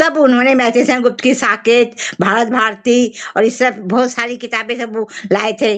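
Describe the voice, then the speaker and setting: Behind noticeable background noise, a woman speaks at a high pitch with fairly even intonation. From Bengali family, grew up in Hindi-speaking villages. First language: Bengali (speaking Hindi). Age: 70s. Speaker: writer. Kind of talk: interview. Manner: halting, with fillers.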